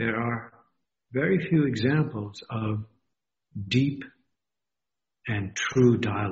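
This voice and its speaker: Very slow, somewhat breathy speech with long, frequent pauses and ordinary pitch variation. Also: man, medium pitch for a man. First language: not English. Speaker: university dean. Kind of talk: interview.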